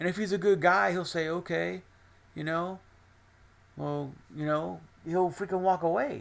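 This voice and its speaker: This man speaks at a moderate pace in a high pitch, with ordinary pitch variation. He leaves long, frequent pauses. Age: 40s. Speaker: podcaster. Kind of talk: personal monologue. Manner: rambling, repetitive.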